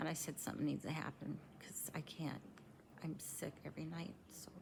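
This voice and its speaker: A woman whispering at a moderate pace. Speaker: vlogger living with liver cirrhosis. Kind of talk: personal vlog monologue. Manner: halting, frequent um fillers.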